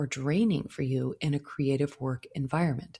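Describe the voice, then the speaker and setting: The voice has a calm, soothing tone that is dark and mellow and somewhat breathy. It moves at a moderate pace. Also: woman. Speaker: podcast host, floral designer. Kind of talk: solo podcast monologue.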